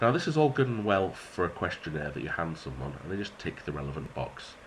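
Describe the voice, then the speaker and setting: A man with a British accent talks in a very deep, low pitch that swings very widely. Noticeable background noise runs beneath him. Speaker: maths teacher. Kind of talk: educational tutorial.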